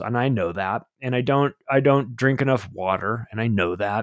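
A man talks at a moderate pace with lively intonation. He has a normal speaking voice. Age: 50s. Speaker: author and podcast host. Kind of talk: casual chat.

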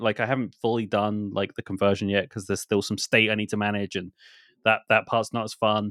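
On a very clean recording with a silent background and a dry, close sound with no echo, a man speaks at medium pitch and a fairly quick pace in a plain, everyday voice. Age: 30s. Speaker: podcast host. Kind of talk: casual chat.

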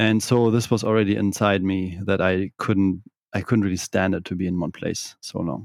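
A man speaks with a German accent at a moderate pace. His pitch is fairly low. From northern Germany (Kiel). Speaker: digital nomad entrepreneur. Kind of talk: interview.

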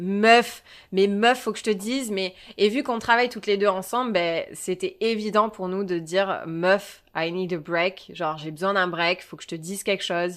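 A woman speaks at a moderate pace and medium pitch, with ordinary pitch variation and big swings in loudness. The recording is very clean, with a silent background. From southern France, Provence near Marseille. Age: 20s. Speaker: podcast co-host. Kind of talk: casual chat.

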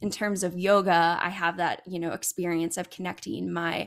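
Recorded very cleanly against a silent background, a woman with an unremarkable speaking voice and fairly low pitch speaks at a moderate pace. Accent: American. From California. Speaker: psychology doctoral student and podcast host. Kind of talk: casual interview chat.

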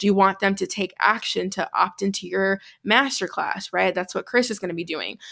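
A woman speaks with an American accent in a bright, sharp tone at medium pitch. Her intonation stays fairly even, with vocal fry. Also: moderate pace, very clean recording, silent background. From US Midwest, Chicago. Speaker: business coach. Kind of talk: tutorial; interview conversation.

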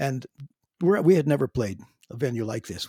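With a Canadian accent and a dark, mellow tone, a man speaks at a moderate pace. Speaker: drummer and singer in a classic rock band. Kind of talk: casual interview chat. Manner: halting, with repeated words.

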